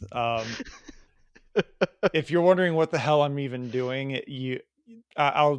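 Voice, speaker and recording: A man with a Chicago accent talks at a moderate pace with fairly even intonation. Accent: Chicago Midwest. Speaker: podcast host.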